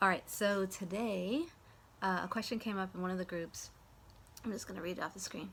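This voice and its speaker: A woman with a medium pitch speaks at a fairly quick pace and fairly even intonation, broken by long, frequent pauses. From New York City, raised by Midwestern parents. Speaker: Human Design teacher. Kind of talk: casual talk to camera.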